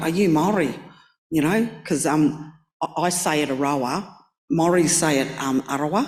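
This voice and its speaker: A woman with an Australian accent, her very deep, low pitch and very even loudness at a moderate pace, with long, frequent pauses. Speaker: artist panelist. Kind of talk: panel discussion.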